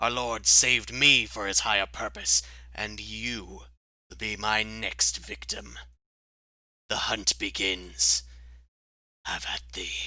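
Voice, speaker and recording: A put-on character voice from a man, very deep and low, raspy and growling, fairly slow, on a very clean recording with a silent background. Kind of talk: archaic, zealous. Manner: menacing.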